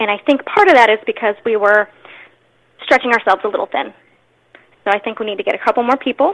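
Speaking very fast yet with long, frequent pauses, a woman with a fairly high pitch uses ordinary pitch variation, and the sound is dry and close with no echo. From Maryland, Anne Arundel County. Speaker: political candidate, stay-at-home mother. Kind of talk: interview.

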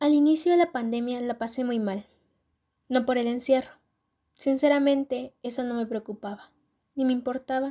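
This woman has a high-pitched, dark and mellow tone, talking at a moderate pace with fairly even intonation over a very clean recording with a silent background. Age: young. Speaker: student. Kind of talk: personal testimony. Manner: scripted reading.

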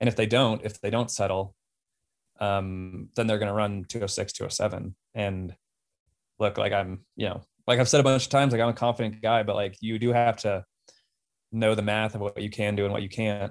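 Over a silent background in a very clean recording, a man with an American accent talks at a fairly quick pace and fairly low pitch in a monotone, flat intonation. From Colorado. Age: 30s. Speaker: professional marathon runner. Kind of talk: casual interview.

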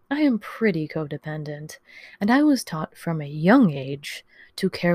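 A woman speaks at a fairly slow pace in a dark, mellow, somewhat breathy tone with lively intonation. The sound is dry and close with no echo, on a very clean recording with a silent background. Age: 30s. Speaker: podcast host. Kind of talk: personal monologue.

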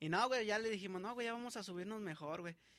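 A man talks at a very fast pace. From Mexico, San Luis Potosí. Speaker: rapper. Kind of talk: casual chat. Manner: halting.

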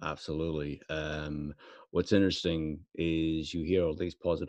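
The recording has a quiet background and a dry, close sound with no echo. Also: man. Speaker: workplace leader. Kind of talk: casual chat. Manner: fast talker.

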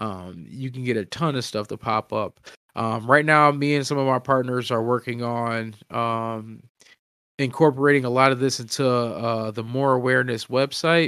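A man's bright, sharp tone with an American accent, medium pitch, fairly even intonation and a moderate pace. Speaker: podcast co-host. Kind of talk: casual chat. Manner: halting.

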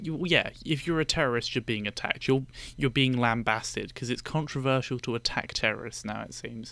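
At a fairly quick pace, a voice with a British accent and a bright, sharp tone speaks with ordinary pitch variation on a very clean recording with a silent background. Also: man, medium pitch for a man. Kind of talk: casual chat. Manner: soft-spoken.

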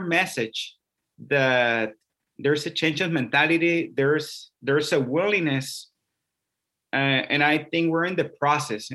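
A man's fairly high, bright and sharp voice with a Spanish accent, ordinary pitch variation and a fairly slow pace. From Mexico (Mexicali, Baja California border). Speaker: Episcopal priest, ministry missioner. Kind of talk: conversational interview, personal testimony.

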